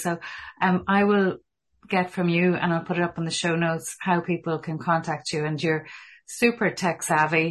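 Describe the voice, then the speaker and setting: A woman's fairly low, flat monotone with an Irish accent, at a fairly slow pace against a quiet background. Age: 50s. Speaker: podcast host. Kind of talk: interview conversation.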